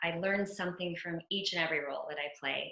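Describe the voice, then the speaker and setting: Audible room echo carries a voice with an American accent. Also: woman. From US, Venezuelan household, grew up all over, New Jersey. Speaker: actress. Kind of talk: interview. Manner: animated.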